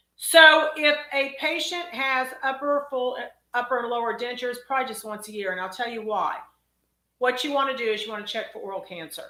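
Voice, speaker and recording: A woman's high, raised and projected voice in a Texas accent, with big swings in loudness, lively intonation, a fairly quick pace and audible room echo. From Texas, College Station. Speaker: dentist. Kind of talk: live Q&A stream. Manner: casual, chatty.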